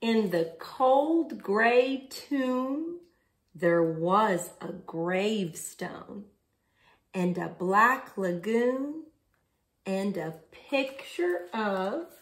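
Against a quiet background, a somewhat breathy voice moves very slowly with very wide swings in pitch. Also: woman. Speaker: children's story reader. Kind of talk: story time read-aloud. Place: home room. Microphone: phone near.

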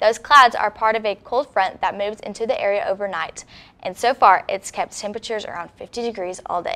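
Her tone bright and sharp, a woman with a fairly high pitch talks at a fairly quick pace with lively intonation. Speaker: news anchor. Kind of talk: studio newscast read from a script, with a weather forecast. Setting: studio. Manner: polished, even and formal, in a broadcast delivery.

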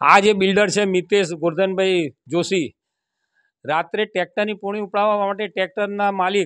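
A man with high pitch and fairly even intonation is heard against a quiet background, the sound dry and close with no echo. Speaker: local resident. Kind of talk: interview complaint.

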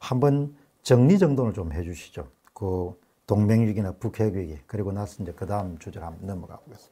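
Fairly low and somewhat breathy, a man's dark, mellow voice moves at a fairly quick pace with lively intonation and big swings in loudness. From South Korea. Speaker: political commentary YouTuber; talk show host. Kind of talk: interview. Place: studio.

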